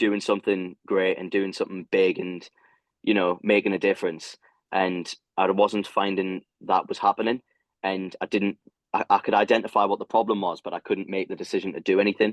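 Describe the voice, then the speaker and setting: A man speaks with a British accent at a fairly quick pace. His fairly low voice stays monotone, with flat intonation. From UK. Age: 20s. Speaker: ultra runner. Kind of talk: podcast interview answer.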